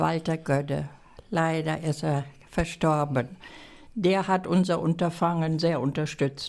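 The voice belongs to a woman. Her recording is very clean, and the background is completely silent. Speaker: village association chairwoman. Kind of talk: reading prepared text aloud. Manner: formal.

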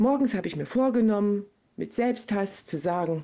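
Against a quiet background, a woman with a dark, mellow tone talks at a fairly slow pace with lively intonation. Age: 40s. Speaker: volunteer addiction recovery guide. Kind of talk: interview.

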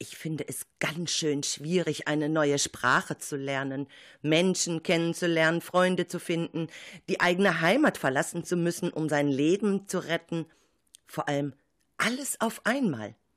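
Recorded very cleanly against a silent background, a woman with fairly low pitch and ordinary pitch variation has an unremarkable speaking voice. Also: fairly slow pace. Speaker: radio show host and teacher. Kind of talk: radio moderation and narration.

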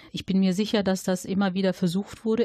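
A somewhat breathy voice with a dark, mellow tone and fairly even intonation sounds dry and close, with no echo, over a quiet background. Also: woman. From Germany, Dortmund (Ruhr area). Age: 40s. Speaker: local election candidate and social worker. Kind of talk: interview.

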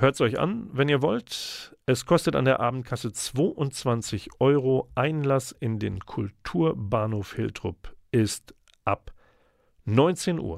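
With lively intonation, a man at a medium pitch speaks at a very slow pace, the sound dry and close with no echo in a very clean recording with a silent background. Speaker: radio host. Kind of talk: radio dj patter. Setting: radio studio. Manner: chatty, warm; playful, wordplay.

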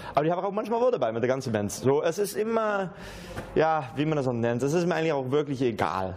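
Talking at a very fast pace, a man with a Dutch accent has a fairly high pitch and very wide pitch swings. Noticeable background noise and audible room echo fill the recording. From Netherlands. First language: Dutch (speaking German). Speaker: acoustic musician. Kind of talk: casual interview. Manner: halting.

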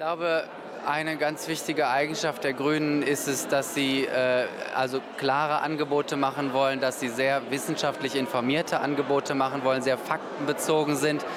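In a room with audible echo and noticeable background noise, a man with a fairly high voice speaks at a moderate pace in a monotone, flat way. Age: 30s. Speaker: politician and doctor. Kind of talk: interview. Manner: hesitant with fillers.

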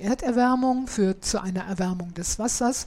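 A woman speaks with a dark, mellow tone at a fairly high pitch. Her voice is somewhat breathy, with ordinary pitch variation. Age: 70s. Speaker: podcaster. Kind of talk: scripted narration.

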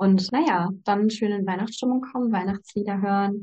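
Medium-pitched, somewhat breathy woman at a moderate pace. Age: 20s. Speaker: student. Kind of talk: casual interview chat.

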